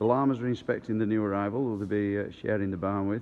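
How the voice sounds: A man speaks at a fast pace with fairly even intonation. His pitch sits fairly low.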